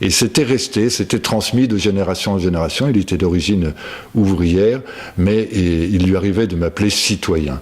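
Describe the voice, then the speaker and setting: A man's fairly low voice at a moderate pace, with ordinary pitch variation and very even loudness. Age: 60s. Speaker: local political candidate. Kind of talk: personal testimony. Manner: hesitant, many fillers.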